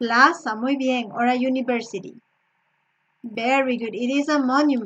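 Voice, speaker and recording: This voice speaks in a Spanish accent. Its speed is fairly slow. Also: woman. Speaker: English teacher. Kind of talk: online lesson.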